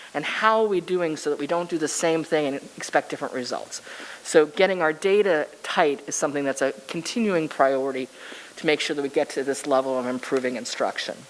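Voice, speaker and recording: A woman with an American accent, a very deep, low pitch, ordinary pitch variation, a fairly quick pace and noticeable background noise. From Massachusetts. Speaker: school district chief academic officer. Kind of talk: presentation. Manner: fast.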